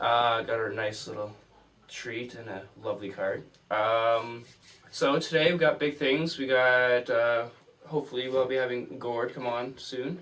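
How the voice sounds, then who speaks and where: A man at medium pitch, speaking fairly slowly, amid noticeable background noise. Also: ordinary pitch variation. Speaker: radio host. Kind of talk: casual chat. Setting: radio studio.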